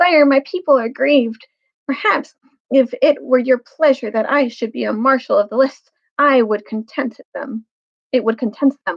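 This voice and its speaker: Putting on a shrill character voice, a woman speaks at a moderate pace in a high pitch. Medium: read story. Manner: courtly, formal.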